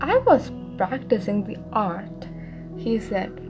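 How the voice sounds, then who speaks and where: Very slow speech from a woman, with music playing in the background. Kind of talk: audiobook narration of a novel, bedtime story. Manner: soft-spoken, relaxing.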